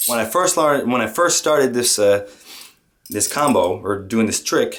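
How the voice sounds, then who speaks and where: A man with a French Canadian accent talks at a medium pitch, his voice sweeping through very wide pitch swings. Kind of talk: casual tutorial talk to camera.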